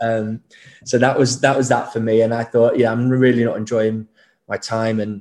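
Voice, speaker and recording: A man with a northern English accent speaks at a moderate pace and medium pitch in a monotone, flat intonation, with a quiet background. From Leeds, northern England. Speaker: startup co-founder. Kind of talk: casual interview chat.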